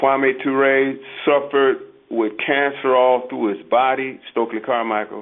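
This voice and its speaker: This man has a plain, everyday voice at a medium pitch, with fairly even intonation. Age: 60s. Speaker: activist speaker on radio show. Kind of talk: call-in radio discussion.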